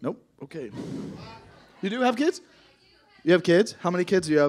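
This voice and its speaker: A loud, animated man with high pitch, lively intonation and a fairly quick pace. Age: 30s. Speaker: comedian. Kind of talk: stand-up comedy with crowd work. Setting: stage with audience. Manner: animated, loud, irreverent, heckling audience members; fast, punchy, profane, with interjections and laughs. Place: stage. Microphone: handheld.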